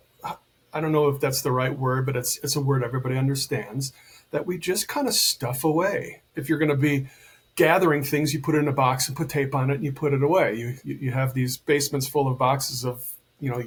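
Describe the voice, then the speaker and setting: A man talks at a fairly quick pace with an American accent. His voice is fairly high-pitched and somewhat breathy. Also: fairly even intonation. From United States. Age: 60s. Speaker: men's coach and healer. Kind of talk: podcast interview.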